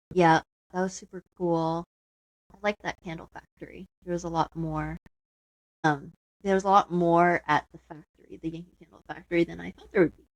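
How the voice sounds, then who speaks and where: A woman's fairly low, monotone, flat voice at a fairly quick pace, with big swings in loudness and a dry, close sound with no echo. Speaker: podcast co-host. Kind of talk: casual chat. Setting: home basement living area.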